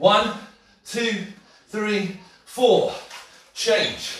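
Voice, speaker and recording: A man talks at a very slow pace. There is audible room echo and light background noise. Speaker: fitness instructor. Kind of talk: workout class instruction. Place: kitchen. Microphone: camera far.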